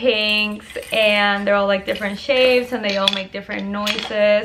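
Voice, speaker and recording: A woman with a Puerto Rican accent, medium in pitch, monotone and flat, at a moderate pace, with audible room echo and noticeable background noise. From Puerto Rico. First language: Spanish. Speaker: lifestyle YouTuber. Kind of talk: product review vlog. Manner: casual, chatty.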